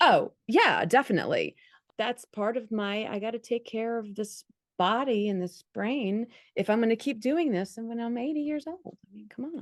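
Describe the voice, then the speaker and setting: A woman with an ordinary speaking voice talks at a fairly high pitch and moderate pace, with ordinary pitch variation and big swings in loudness. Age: 50s. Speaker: podcast host. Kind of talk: casual interview chat.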